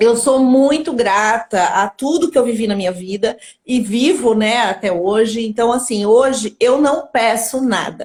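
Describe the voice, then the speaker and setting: An unremarkable speaking voice from a woman, fairly high in pitch, fairly slow, with ordinary pitch variation. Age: 50s. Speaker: entrepreneur in digital marketing. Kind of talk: live stream interview. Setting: Instagram live.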